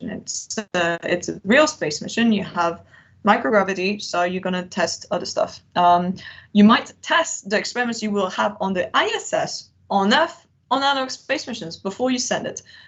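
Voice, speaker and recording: Somewhat breathy and lively in intonation, a woman talks at a moderate pace in a medium pitch. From Switzerland. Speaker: analog astronaut and PhD researcher. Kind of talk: webinar Q&A. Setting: video call.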